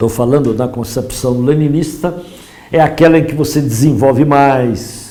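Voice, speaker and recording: Amid noticeable background noise and audible room echo, a man speaks at a fairly slow pace with a fairly high pitch. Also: ordinary pitch variation. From Brazil, São Paulo state. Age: 70s. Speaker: professor and politician. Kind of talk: lecture.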